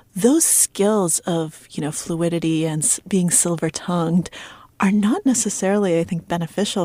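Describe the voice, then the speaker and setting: A woman's fairly low, dark, mellow voice in an American accent, with ordinary pitch variation and a moderate pace. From Russia, came to US as child. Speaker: writer and podcast co-host. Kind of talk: casual chat.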